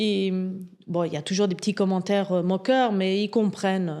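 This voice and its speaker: A woman speaks at a medium pitch and a moderate pace, with fairly even intonation. The recording is very clean, with a silent background. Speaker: entrepreneur. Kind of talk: interview. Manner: hesitant, many fillers.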